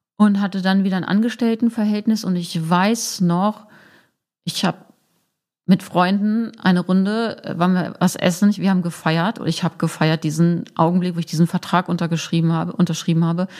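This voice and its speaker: With a normal speaking voice, a woman talks at a medium pitch and a moderate pace, her intonation fairly even. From northern Germany, Braunschweig. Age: 40s. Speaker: sex counselor and presenter. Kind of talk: casual interview.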